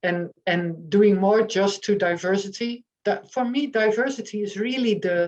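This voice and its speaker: The speaker has a Dutch accent and ordinary pitch variation. The pace is fairly slow, with hardly any pauses. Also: woman, medium pitch for a woman. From eastern Netherlands, near German border. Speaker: author and journalist. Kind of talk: online panel discussion. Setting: online meeting. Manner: halting, many fillers.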